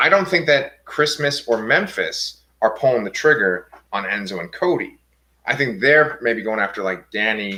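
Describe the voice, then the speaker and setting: A bright, sharp tone in an American accent, with very wide pitch swings at a moderate pace. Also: man. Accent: New York accent, comes out at times. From New York, Staten Island. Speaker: TV show discussion podcaster. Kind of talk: casual chat.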